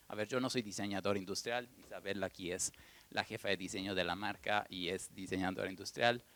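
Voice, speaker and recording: A soft-spoken man talks at a fairly low pitch. His intonation stays fairly even. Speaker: furniture brand director, economist. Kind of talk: panel talk. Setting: stage with audience at museum event.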